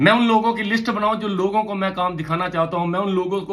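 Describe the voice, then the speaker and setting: A man speaks in a high pitch at a moderate pace. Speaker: motivational trainer. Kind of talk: motivational talk. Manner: animated.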